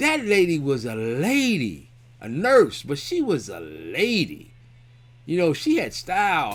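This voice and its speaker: The man's tone comes across as animated. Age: 60s. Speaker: family member reminiscing. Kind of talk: casual personal storytelling. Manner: animated, repetitive restarts.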